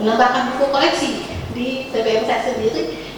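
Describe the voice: A woman speaks at a moderate pace in a fairly high pitch. Her intonation is fairly even, and the room echo is audible.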